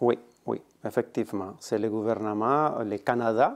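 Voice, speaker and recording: This man talks at a medium pitch with a slight Spanish accent against a quiet background. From Colombia. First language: Spanish (speaking French). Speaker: immigrant integration worker. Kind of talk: interview.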